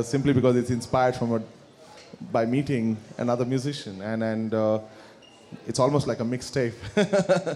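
A man speaks at a moderate pace in a Kannada accent. His pitch sits in the medium range, with fairly even intonation. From India, Karnataka (Bangalore). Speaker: musician. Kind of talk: interview with live audience. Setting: stage with audience.

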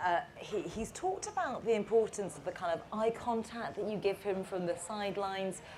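Talking at a fairly quick pace with hardly any pauses, a woman is heard over noticeable background noise. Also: medium pitch for a woman, ordinary pitch variation. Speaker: moderator, broadcast presenter. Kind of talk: moderated interview on stage. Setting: stage with audience.

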